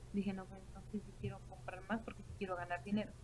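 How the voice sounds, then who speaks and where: A woman speaks over light background noise. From Mexico, Morelia, Michoacán; Michoacán, Mexico. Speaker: direct sales team leader. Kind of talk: sales pitch. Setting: online video call. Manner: halting, many fillers. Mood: enthusiastic, persuasive. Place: home room. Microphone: webcam.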